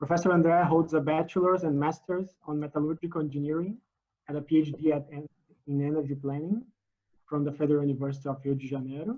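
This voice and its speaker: A man with a fairly high voice talks at a very fast pace, his intonation fairly even. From Brazil. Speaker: webinar host. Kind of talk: formal introduction. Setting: video call.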